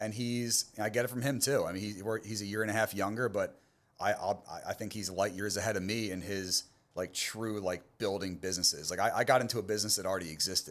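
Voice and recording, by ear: A man with an American accent, fast pace, fairly bright tone and fairly even intonation. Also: fairly low pitch for a man.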